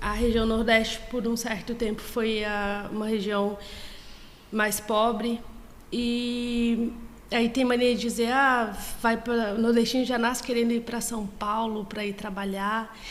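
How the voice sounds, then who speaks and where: In a Bahian accent, a woman speaks at a fairly slow pace with a fairly high pitch and monotone, flat intonation, with audible room echo. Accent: Brazilian Portuguese, Northeastern (Bahian). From Brazil, Bahia (Northeast). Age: 30s. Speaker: student. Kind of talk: casual interview.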